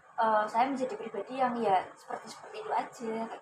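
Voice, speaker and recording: Against noticeable background noise, a woman talks at a moderate pace with a fairly high pitch and ordinary pitch variation. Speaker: university student, counseling client. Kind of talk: counseling session role-play. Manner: hesitant, many fillers.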